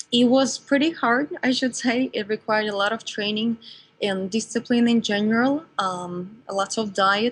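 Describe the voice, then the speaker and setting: Moderate pacing and ordinary pitch variation from a woman with a fairly high, somewhat breathy voice. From Russia. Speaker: entrepreneur, former ballerina. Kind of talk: interview. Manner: halting.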